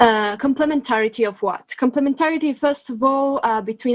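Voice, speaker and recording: A woman talks at a very fast pace. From Italy. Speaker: researcher. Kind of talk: conference summary. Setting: webinar.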